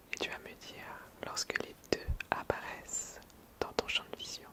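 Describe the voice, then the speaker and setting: Someone whispers at a very slow pace in a calm tone. Noticeable background noise runs underneath. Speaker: ASMR creator. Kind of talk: ASMR roleplay, sleep instructions to camera. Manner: soft-spoken, calm, slow.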